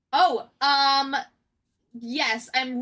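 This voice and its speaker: A woman speaks in an excited tone. Her voice sounds bright and sharp. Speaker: game artist. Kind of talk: casual chat.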